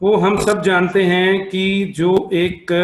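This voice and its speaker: A man with a Punjabi accent, high in pitch. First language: Punjabi (speaking Hindi). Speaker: optometrist and association president. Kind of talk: formal welcome speech.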